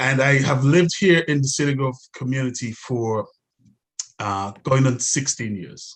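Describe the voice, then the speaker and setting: A man at a fairly slow pace, medium pitch and ordinary pitch variation. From outside the US. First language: not English. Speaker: city council candidate. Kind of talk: candidate forum speech. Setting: live-streamed webinar. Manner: hesitant, many fillers.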